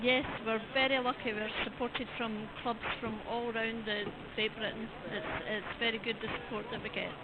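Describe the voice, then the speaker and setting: Noticeable background noise sits behind a woman with a fairly high pitch. She speaks at a moderate pace with monotone, flat intonation. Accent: Scottish. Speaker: event official. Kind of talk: interview. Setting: outdoors at event car park.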